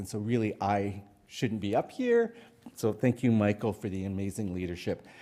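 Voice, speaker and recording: A man's tone is dark and mellow. He talks at a moderate pace. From Canada, Cree First Nations. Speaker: public health worker, presenter. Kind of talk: conference presentation.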